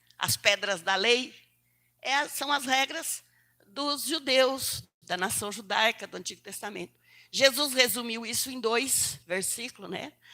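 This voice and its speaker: Her voice sits fairly high for a woman, bright and sharp in tone with vocal fry, and her lively intonation moves at a moderate pace. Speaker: preacher. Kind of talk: sermon. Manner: halting.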